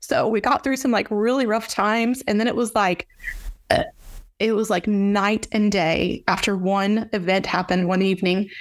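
With a Texan accent, a woman speaks with ordinary pitch variation. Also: medium pitch for a woman, moderate pace. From Texas, Fort Worth area. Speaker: ranch owner and ag association marketing manager. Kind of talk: interview.

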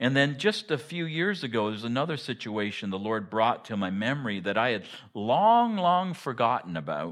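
Against a quiet background, a man with a Canadian accent talks at a moderate pace with lively intonation in an unremarkable speaking voice. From rural eastern Ontario, Canada. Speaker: pastor. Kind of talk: sermon. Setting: church.

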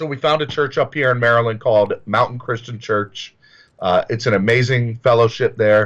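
A man with an American accent and a plain, everyday voice, medium pitch and fairly even intonation, over a quiet background. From US South. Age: 30s. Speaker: recovering addict. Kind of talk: personal testimony. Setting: video call.

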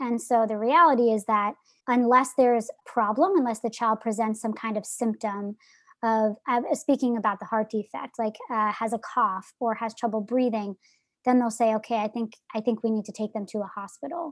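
In an American accent, a normal speaking voice moves at a moderate pace, with a dry, close sound and no echo. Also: woman, fairly high pitch for a woman, ordinary pitch variation. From New Jersey. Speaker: nonprofit founder. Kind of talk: interview.

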